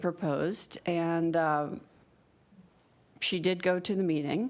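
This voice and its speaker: A woman of fairly low pitch speaks slowly-ish, at a fairly slow pace with ordinary pitch variation, in a plain, everyday voice on a very clean recording with a silent background. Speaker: fiduciary training presenter. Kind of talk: training presentation.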